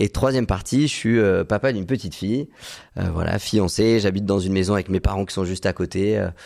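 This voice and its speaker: On a very clean recording with a silent background, a man with a plain, everyday voice talks at a fairly quick pace, fairly low in pitch with ordinary pitch variation. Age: 20s. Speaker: medical intern and real estate investor. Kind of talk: podcast interview.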